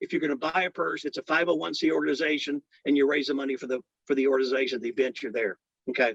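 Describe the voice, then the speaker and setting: The voice has vocal fry and a very fast pace. The sound is dry and close, with no echo. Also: man, fairly high pitch for a man, ordinary pitch variation. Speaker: auctioneer. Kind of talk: spotlight talk to an audience of veterans.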